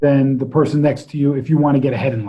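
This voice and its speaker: A man with an American accent talks in a somewhat breathy voice, fairly high in pitch. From US Northeast, New Jersey. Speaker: entrepreneur and coach. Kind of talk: interview conversation. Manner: direct.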